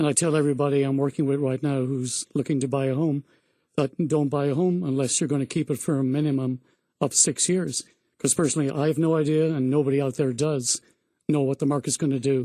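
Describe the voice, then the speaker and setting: A man with an Irish accent talks very fast in a fairly high pitch with a dark, mellow tone. His loudness stays very even and his intonation is monotone and flat. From Ireland. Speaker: real estate agent. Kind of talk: radio interview.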